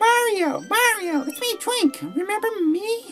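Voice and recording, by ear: Against clear music in the background, a squeaky put-on character voice at an extremely high pitch moves at a fairly slow pace.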